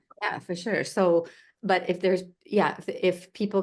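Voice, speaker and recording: A woman at a fairly slow pace with fairly even intonation, over a quiet background. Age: 60s. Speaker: arts nonprofit leader. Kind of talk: interview. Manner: halting.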